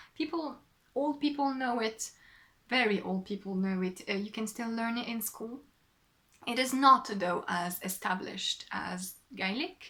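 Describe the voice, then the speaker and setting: With a French accent, a woman speaks fairly slowly at a fairly high pitch, her tone bright and sharp and her intonation lively. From southwest France. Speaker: knitting podcaster and designer. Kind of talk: casual podcast monologue. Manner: hesitant, many fillers.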